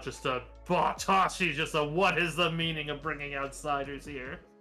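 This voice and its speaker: A man does a booming, put-on character voice in an angry tone at a fairly high pitch. He keeps a moderate pace, with faint music in the background. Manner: angry, booming.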